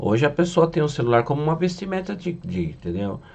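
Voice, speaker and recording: A man's pitch swings very widely as he speaks. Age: 60s. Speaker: spiritual medium. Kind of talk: casual monologue teaching.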